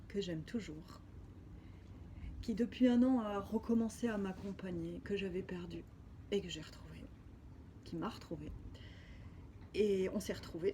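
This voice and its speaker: A woman at a fairly slow pace, with long, frequent pauses. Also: big swings in loudness. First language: Spanish (speaking French). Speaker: spiritual healer. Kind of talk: personal video diary testimony. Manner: halting.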